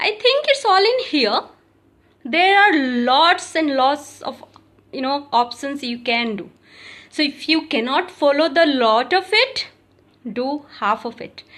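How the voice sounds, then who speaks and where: Loudness swings widely and pitch swings very widely as the speaker moves at a very slow pace, with long, frequent pauses. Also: woman, high pitch for a woman. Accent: Odisha. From India, Odisha. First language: Odia. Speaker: yoga teacher. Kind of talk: tutorial. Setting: live video. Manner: halting.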